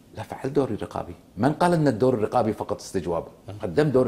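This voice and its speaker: This is a man with a medium-pitched voice. He speaks at a fairly quick pace. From Kuwait. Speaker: former member of parliament; guest. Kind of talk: political TV interview. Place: studio. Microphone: lapel.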